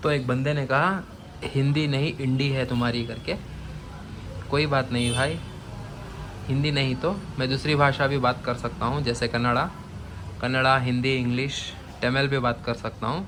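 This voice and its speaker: Speech with a non-native accent and fairly even intonation. Long pauses come often, and room echo is audible. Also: man, medium pitch for a man. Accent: non-native Hindi, weak. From Bangalore, Karnataka, India. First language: Urdu (speaking Hindi). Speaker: aquarium vlogger. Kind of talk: casual vlog.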